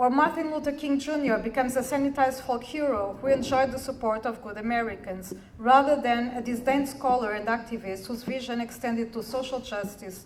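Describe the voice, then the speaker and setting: A woman with a high pitch speaks at a fairly quick pace with hardly any pauses and fairly even intonation, amid noticeable background noise and audible room echo. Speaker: academic researcher. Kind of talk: conference talk. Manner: fast; formal. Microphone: too quiet, not speaking into the mic.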